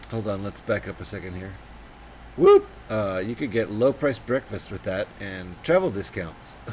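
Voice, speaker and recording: A man with an ordinary speaking voice talks at a moderate pace and a fairly low pitch. His pitch varies in an ordinary way, while his loudness swings widely. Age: 50s. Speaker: live streamer building LEGO. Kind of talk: casual live stream chat while building.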